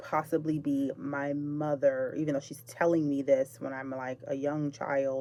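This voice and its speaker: A woman's very deep, low voice, dark and mellow in tone, monotone and flat, at a very slow pace. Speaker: spiritual vlogger. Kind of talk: personal storytelling monologue. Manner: pauses and stutters a little; halting, self-correcting.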